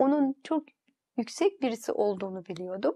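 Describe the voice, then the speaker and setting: Against a quiet background, a woman's high-pitched voice moves through very wide pitch swings. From Turkey. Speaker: interview guest. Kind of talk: testimony. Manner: halting. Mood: reflective, recalling memories. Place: studio. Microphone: lapel.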